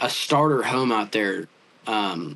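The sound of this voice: Slow in pace, the voice carries a fairly bright tone and lively intonation. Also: man, fairly low pitch for a man.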